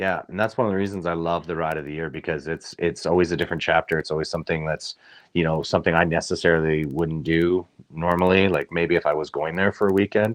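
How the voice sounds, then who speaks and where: With a Canadian accent, a man speaks at a very fast pace in a very deep, low voice with fairly even intonation, the sound dry and close with no echo against a quiet background. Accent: muted Canadian. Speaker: motorcycle club member. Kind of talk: interview.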